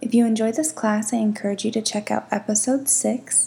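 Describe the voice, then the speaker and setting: A woman speaks at a moderate pace with a fairly high pitch, a dark, mellow, gentle tone, a somewhat breathy quality, and ordinary pitch variation. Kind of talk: guided yoga class instruction. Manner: gentle and encouraging.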